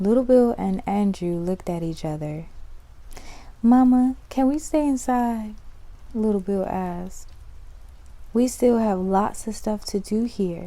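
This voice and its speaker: Soft-spoken and soothing, a woman with a medium pitch and a dark, mellow tone talks at a fairly slow pace with ordinary pitch variation and long, frequent pauses. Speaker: ASMR creator. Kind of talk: children's story reading. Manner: soft-spoken, soothing.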